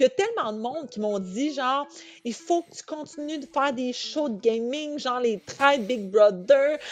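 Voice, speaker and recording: Her tone is animated, and her loudness swings widely. The woman talks at a moderate pace and high pitch, with hardly any pauses. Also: lively intonation. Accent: Quebec. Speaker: reality TV contestant. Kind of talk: interview.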